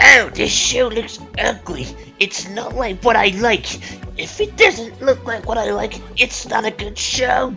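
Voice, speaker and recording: Over clear background music, a female-sounding voice speaks in a put-on character voice at a fairly slow pace. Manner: ranting, whiny.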